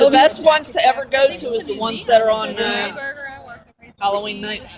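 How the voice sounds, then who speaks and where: A woman's fairly high voice with lively intonation, a fairly quick pace and big swings in loudness, over crowd noise in the background. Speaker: convention attendee. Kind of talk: casual chat.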